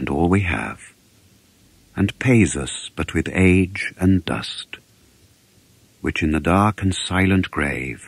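A man with vocal fry talks at a very slow pace and a very deep, low pitch, with ordinary pitch variation and long, frequent pauses. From England. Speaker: actor. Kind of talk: poetry reading.

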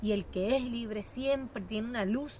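A woman at a fairly slow pace, dry with no echo, over light background noise. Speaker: guest. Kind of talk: interview answer. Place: garden.

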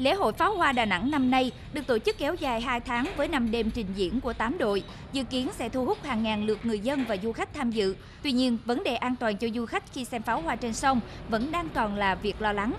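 A woman speaks fairly quickly in a high voice over noticeable background noise. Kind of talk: news reading. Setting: studio. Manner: formal.

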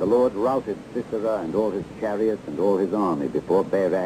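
Over noticeable background noise, a man with a fairly low voice speaks at a moderate pace with ordinary pitch variation. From Philippines. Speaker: radio announcer. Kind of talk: scripture reading. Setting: vintage AM radio recording, 1970s. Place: studio. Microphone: old recording.

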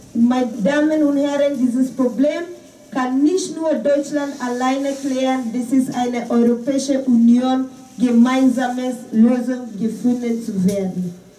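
A woman with a high pitch speaks at a fairly slow pace and with fairly even intonation, with audible room echo and noticeable background noise. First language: not German (speaking German). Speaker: volunteer refugee activist. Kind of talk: press conference statement. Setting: press conference.

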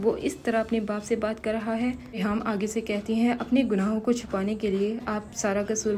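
Light background noise sits under a fairly slow voice with monotone, flat intonation. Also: woman. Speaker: channel narrator. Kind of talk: story narration.

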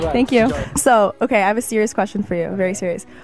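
Over clear background music, a woman with a fairly high voice and an upbeat tone speaks at a very fast pace, the sound dry with no echo. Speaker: radio and TV host. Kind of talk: celebrity interview questions. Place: hall. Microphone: handheld.

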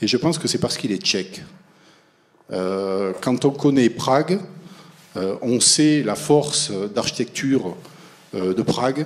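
With a French accent, a man talks at a moderate pace, his lively intonation broken by long, frequent pauses. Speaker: architecture school teacher; host introducing a guest lecturer. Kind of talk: speaker introduction. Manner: halting. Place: classroom. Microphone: handheld.

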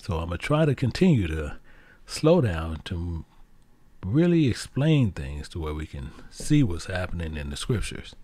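A man speaks at a moderate pace in a very deep, low, somewhat breathy voice with a dark, mellow tone. His pitch swings very widely and his loudness shifts a lot, in a very clean recording with a silent background. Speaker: Bible teacher. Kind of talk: sermon.

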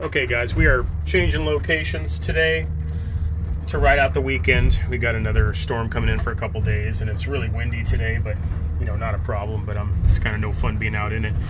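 A man talks at a fairly quick pace. Loud background noise fills the clip. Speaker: boat-living vlogger. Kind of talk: casual vlog chat. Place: boat. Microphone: phone near.

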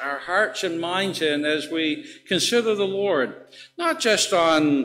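Over light background noise, a man uses a raised, projected voice with a bright, sharp tone and lively intonation. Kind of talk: church announcements. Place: church. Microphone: podium.

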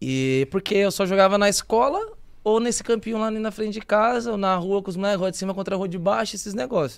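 Over a quiet background, a man with a high pitch and ordinary pitch variation speaks at a very fast pace. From São Paulo, Brazil (capital, Zona Norte). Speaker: footballer. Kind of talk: casual chat. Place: studio. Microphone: studio mic.

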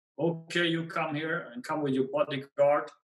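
With a Swedish accent, a man speaks at a moderate pace and a fairly high pitch. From Sweden. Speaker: pegmatite expert and field collector; guest. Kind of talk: storytelling interview. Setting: video call. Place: home room. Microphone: webcam.

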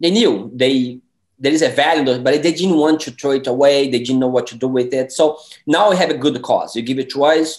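With a Portuguese accent, a man speaks at a fairly high pitch with ordinary pitch variation over a quiet background. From Brazil. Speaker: independent filmmaker. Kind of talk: interview. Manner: halting, many fillers. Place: home room. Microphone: webcam.

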